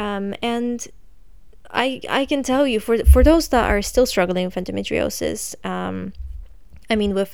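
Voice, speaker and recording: The woman has an ordinary speaking voice at a medium pitch. She talks at a fairly slow pace. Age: 20s. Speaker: podcast host. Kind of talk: casual monologue. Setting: home, candlelit room.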